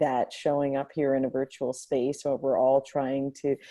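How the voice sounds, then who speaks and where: Soft-spoken and at a moderate pace, a woman talks with a very deep, low pitch and a dark, mellow tone. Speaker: hackathon facilitator. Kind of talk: casual reflection on video call. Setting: video call from home. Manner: halting.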